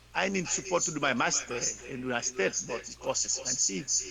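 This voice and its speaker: Noticeable noise fills the background. The speech has lively intonation. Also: man. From Haiti, Gressier. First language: French. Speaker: pastor. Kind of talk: interview. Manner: halting.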